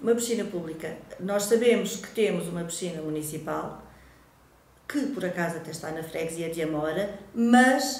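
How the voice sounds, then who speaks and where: A woman's fairly low voice with lively intonation and big swings in loudness at a moderate pace, with audible room echo. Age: 50s. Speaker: local election candidate, secondary school Portuguese teacher; election candidate, secondary school Portuguese teacher. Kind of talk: campaign self-presentation to camera. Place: home room.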